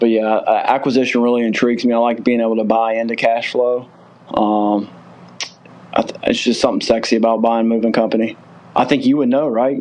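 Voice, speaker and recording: A man's medium-pitched voice with a Southern US accent, fairly quick pace, and monotone, flat intonation, over noticeable background noise. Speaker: moving company owner. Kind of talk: podcast interview.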